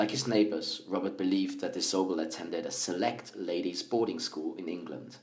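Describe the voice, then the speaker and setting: With a Swiss accent, a man speaks at a fairly quick pace in a very deep, low voice, with ordinary pitch variation and hardly any pauses. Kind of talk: audiobook-style story reading.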